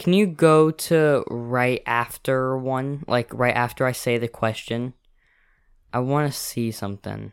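On a very clean recording with a silent background, a man of medium pitch talks at a fairly slow pace with ordinary pitch variation in a plain, everyday voice. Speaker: podcast co-host. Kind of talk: casual chat.

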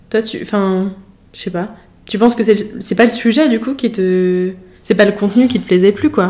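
The tone is dark and mellow. Delivery comes at a moderate pace. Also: woman, medium pitch for a woman, ordinary pitch variation. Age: 20s. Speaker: podcast host, engineering student. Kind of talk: casual interview. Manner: hesitant, many fillers.

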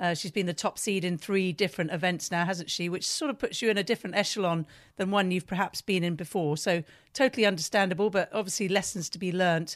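A woman with a British accent speaks at a very fast pace, her pitch medium with ordinary variation. The recording is very clean and dry, close-miked with no echo against a silent background. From Britain. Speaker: podcast interviewer. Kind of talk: interview questions.

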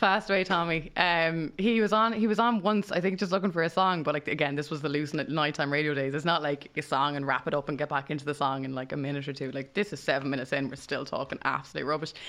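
With an Irish accent, a woman talks at a very fast pace in a very deep, low pitch, her pitch varying in an ordinary way. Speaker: radio DJ. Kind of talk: casual chat. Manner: fast talker.

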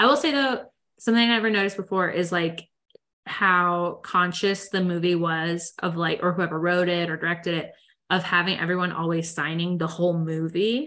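A woman speaks at a moderate pace in a bright, sharp tone with fairly low pitch, over a quiet background. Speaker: podcast host. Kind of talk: casual chat. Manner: flat, understated expression.

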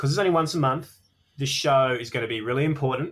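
This man speaks with an Australian accent at a fairly high pitch on a very clean recording with a silent background. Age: 30s. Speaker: comedian. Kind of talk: casual chat. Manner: halting.

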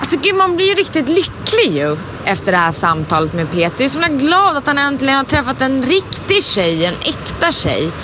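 Amid noticeable background noise, a woman with a high pitch and a raised, projected voice talks at a moderate pace with hardly any pauses and very wide pitch swings. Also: very even loudness. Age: 30s. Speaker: podcast host, voice actor. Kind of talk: casual chat.

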